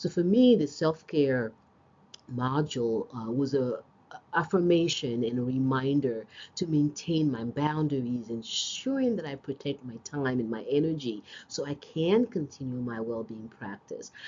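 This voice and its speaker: A woman with a very deep, low pitch talks at a fairly slow pace, her intonation lively. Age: 50s. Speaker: special education teacher. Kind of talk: class presentation. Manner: hesitant, many fillers.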